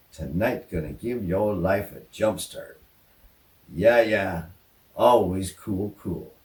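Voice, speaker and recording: Very slow and somewhat breathy, a man speaks at a fairly low pitch with ordinary pitch variation. His loudness swings widely, and his pauses are long and frequent. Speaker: storyteller. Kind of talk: personal anecdote told to camera. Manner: casual, folksy, hesitant.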